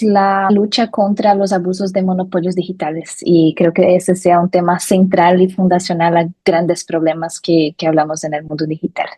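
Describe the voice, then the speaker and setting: A woman speaks at a medium pitch with a dark, mellow tone and a Brazilian accent. Her pace is moderate, with hardly any pauses. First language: Portuguese (speaking Spanish). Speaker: lawyer, digital rights expert. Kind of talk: interview.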